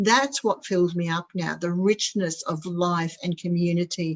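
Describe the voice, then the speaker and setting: The voice is somewhat breathy and fairly low for a woman. She is the one speaking. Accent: Australian. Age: 60s. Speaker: spiritual centre group leader. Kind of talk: casual chat.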